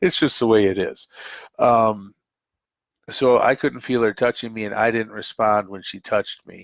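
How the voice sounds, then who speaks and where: With an Upper Midwest accent, a man at medium pitch speaks with long, frequent pauses and big swings in loudness, in a dry, close sound with no echo over a quiet background. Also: moderate pace. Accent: Upper Midwest American. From US Midwest, Minnesota (Twin Cities). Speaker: call-in show host. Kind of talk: casual monologue on live call-in show. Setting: live stream call-in show. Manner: halting, many fillers.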